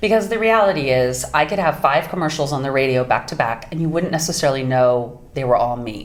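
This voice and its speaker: This woman's voice sits very deep and low. She talks at a fairly quick pace with lively intonation. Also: hardly any pauses. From US Pacific Northwest. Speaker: voice actress. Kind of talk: interview.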